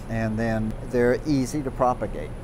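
A man talks at a moderate pace against noticeable background noise. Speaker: plant expert guide. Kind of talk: interview answer. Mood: warm and amused.

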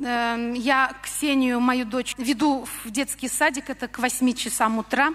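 Delivered at a very slow pace, the speech stays monotone and flat throughout. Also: woman, high pitch for a woman. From Russia. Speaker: church member. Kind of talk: testimony. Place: church. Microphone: handheld.

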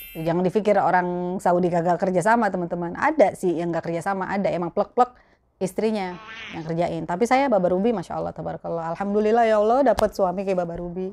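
Over light background noise, a woman speaks at a very fast pace with a medium pitch and ordinary pitch variation. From Jakarta, Betawi; Jakarta. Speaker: YouTuber, mother; YouTuber. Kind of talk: casual Q&A vlog. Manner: chatty, laughing. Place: home room. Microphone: lapel.

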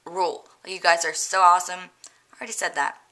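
A woman's bright, sharp tone. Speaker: vlogger. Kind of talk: casual vlog talk to viewers. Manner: halting, many fillers.

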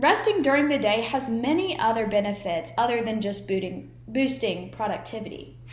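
A woman speaks at a moderate pace in a fairly high voice with vocal fry and lively intonation, hardly pausing, while audible room echo surrounds her. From United States. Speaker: student speaker; speaker. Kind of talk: persuasive speech. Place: home room. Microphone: webcam.

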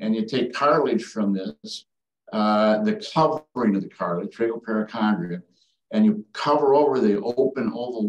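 A man with an Upper Midwest accent and ordinary pitch variation, audible room echo and a quiet background. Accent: Upper Midwest American. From northern Wisconsin. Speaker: retired ENT surgeon. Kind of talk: educational talk. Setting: video call. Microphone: video call.

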